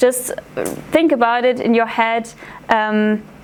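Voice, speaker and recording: The speaker has a German accent and a fairly even intonation. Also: woman. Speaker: art history student intern. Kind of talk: public talk. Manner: halting, many fillers.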